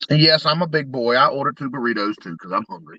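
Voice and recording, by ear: Fast and lively in intonation, a man's bright, sharp voice comes across in a dry, close sound with no echo. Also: medium pitch for a man.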